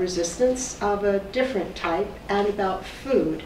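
A woman speaks at a fairly slow pace with a medium pitch. Room echo is audible, along with light background noise. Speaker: professor. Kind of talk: lecture. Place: meeting room. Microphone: camera far.

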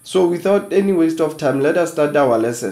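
A man's dark, mellow tone at a moderate pace, with ordinary pitch variation. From South Africa, Free State. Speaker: online educator, channel founder; online educator. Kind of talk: tutorial. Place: home room.

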